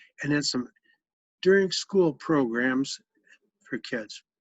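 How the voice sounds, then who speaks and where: The man's pitch varies in an ordinary way as he talks. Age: 60s. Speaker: retired education program director. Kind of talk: family interview.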